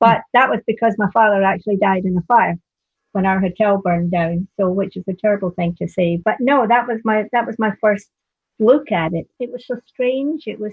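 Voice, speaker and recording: Somewhat breathy, a woman speaks at a moderate pace with a fairly high pitch and ordinary pitch variation. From Scotland. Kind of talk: casual reminiscing conversation.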